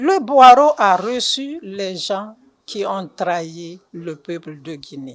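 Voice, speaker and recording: The voice moves at a very slow pace with big swings in loudness and very wide swings in pitch. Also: woman, medium pitch for a woman. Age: 60s. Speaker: party supporter interviewee. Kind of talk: interview. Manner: halting.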